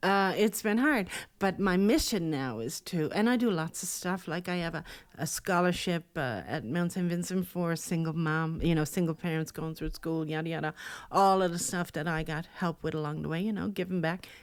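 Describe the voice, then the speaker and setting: In a Newfoundland accent, a woman talks at a moderate pace. Her voice sits fairly low, with ordinary pitch variation. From rural Newfoundland. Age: 60s. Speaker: speaker, coach and adult educator. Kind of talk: podcast interview. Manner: animated.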